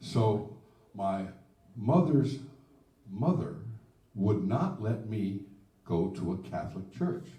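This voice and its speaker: In an American accent, a man speaks at a very slow pace with long, frequent pauses, a fairly low pitch and very wide pitch swings. His somewhat breathy voice has a dark, mellow tone, and audible room echo surrounds it. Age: 70s. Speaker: blues singer-songwriter. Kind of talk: casual chat. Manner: halting.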